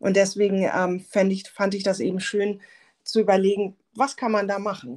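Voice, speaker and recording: A woman's voice of medium pitch, an unremarkable speaking voice, at a moderate pace with ordinary pitch variation, in a very clean recording with a silent background. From Germany, Hamburg. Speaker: software founder, former visual merchandiser. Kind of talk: casual interview. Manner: many filler sounds.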